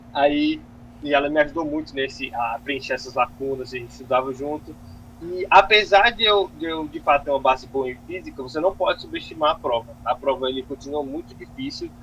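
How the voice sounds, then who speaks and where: A man speaks at a fairly quick pace. His pitch sits fairly high for a man. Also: ordinary pitch variation. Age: 20s. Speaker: medical student, top exam passer. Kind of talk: interview. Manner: casual, hesitant with false starts.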